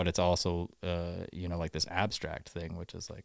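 On a very clean recording with a silent background, a man talks in a very deep, low pitch marked by vocal fry. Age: 30s. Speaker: musician. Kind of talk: casual chat. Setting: studio. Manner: halting.

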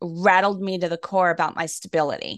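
A woman's unremarkable speaking voice, fairly low-pitched, at a moderate pace with fairly even intonation, in a dry, close sound with no echo and a quiet background. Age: 50s. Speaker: wellness podcast host. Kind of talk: interview.

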